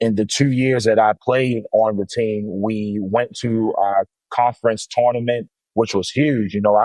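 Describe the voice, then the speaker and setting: In an American accent, a man with an unremarkable speaking voice talks at a medium pitch with fairly even intonation. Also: fairly slow pace, dry, close sound with no echo. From Baltimore, Maryland, US. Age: 30s. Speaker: high school basketball coach. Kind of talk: interview. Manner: casual, frequent fillers.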